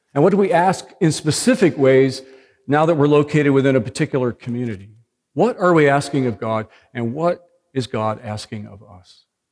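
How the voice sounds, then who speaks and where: A plain, everyday voice moves at a fairly quick pace with lively intonation and big swings in loudness. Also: man, fairly high pitch for a man. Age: 60s. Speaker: pastor. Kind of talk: sermon.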